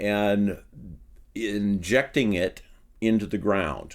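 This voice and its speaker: A man talks with a Midwestern US accent at a fairly low pitch. The recording is very clean, with a silent background. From Iowa. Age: 60s. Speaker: farmer turned soil researcher. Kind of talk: interview conversation. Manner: hesitant, many ums.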